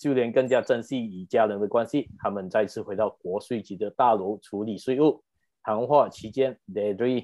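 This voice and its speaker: An unremarkable speaking voice from a man, medium in pitch with ordinary pitch variation, at a moderate pace. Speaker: podcast host. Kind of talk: casual chat; plot summary narration.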